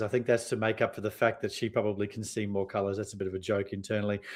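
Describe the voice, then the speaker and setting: A man with an Australian accent, against a quiet background. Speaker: sales and marketing consultant. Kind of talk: podcast interview. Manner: fast, runs sentences together; hesitant with many fillers.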